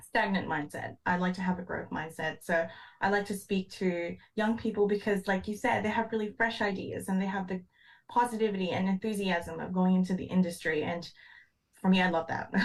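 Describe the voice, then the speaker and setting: A somewhat breathy woman at a fairly quick pace. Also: medium pitch for a woman, fairly even intonation. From Philippines. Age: 20s. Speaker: engineer. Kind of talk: podcast interview.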